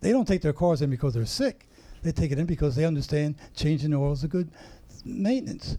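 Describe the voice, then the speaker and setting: Somewhat breathy and dark, mellow in tone, a man speaks very fast in a fairly high pitch with lively intonation. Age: 80s+. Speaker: retired army colonel, cancer survivor. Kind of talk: interview.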